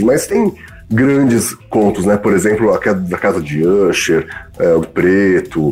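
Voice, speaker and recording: A man with a fairly low pitch speaks at a fairly slow pace while music plays in the background. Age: 40s. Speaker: editor and bookseller. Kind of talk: casual chat. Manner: halting.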